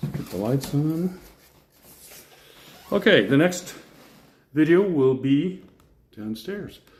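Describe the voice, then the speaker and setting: A man with an American accent at a very slow pace, with big swings in loudness and long, frequent pauses. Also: fairly high pitch for a man, lively intonation. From Colorado. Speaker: real estate video presenter. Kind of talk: casual walkthrough commentary. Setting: walking through a house for sale. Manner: casual, unscripted.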